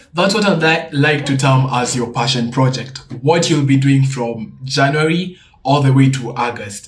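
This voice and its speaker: A man's fairly high voice, somewhat breathy, with audible room echo. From Kenya. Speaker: student YouTuber. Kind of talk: tutorial. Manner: casual.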